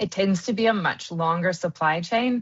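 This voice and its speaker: A woman with an American accent in an unremarkable speaking voice, at a fairly slow pace and with fairly even intonation. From US, Kansas. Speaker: wool industry marketing consultant. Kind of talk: interview. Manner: many fillers (um, uh).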